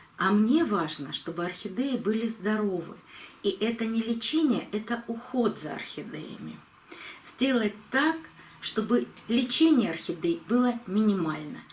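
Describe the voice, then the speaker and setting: A woman's fairly high voice carries lively intonation at a fairly slow pace. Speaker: orchid-care video blogger. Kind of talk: tutorial.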